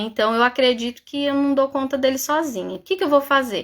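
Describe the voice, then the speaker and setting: The speaker is a woman with a high pitch. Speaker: psychologist. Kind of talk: live stream talk. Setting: live stream. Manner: fast.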